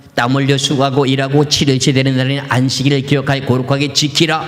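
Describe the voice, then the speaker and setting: Man with a fairly high pitch and monotone, flat intonation, amid audible room echo and noticeable background noise. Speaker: pastor. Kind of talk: sermon.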